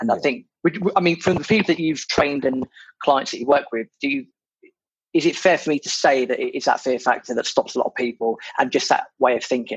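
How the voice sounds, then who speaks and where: Speaking at a very fast pace, a man with a British accent uses a fairly high pitch and ordinary pitch variation, captured in a dry, close sound with no echo. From Britain. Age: 30s. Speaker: podcast host, property investor. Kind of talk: casual chat.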